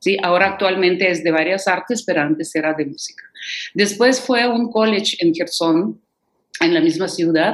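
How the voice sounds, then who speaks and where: A woman with a Russian accent at a moderate pace, her pitch varying in an ordinary way. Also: medium pitch for a woman. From Ukraine (Kherson, Odessa). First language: Russian (speaking Spanish). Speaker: concert pianist and piano professor. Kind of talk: interview.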